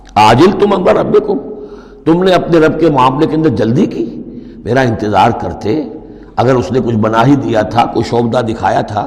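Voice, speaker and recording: Over noticeable background noise, the voice swings very widely in pitch. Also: man, medium pitch for a man. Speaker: Islamic scholar giving a religious lecture. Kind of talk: Quran exegesis lecture, sermon-style.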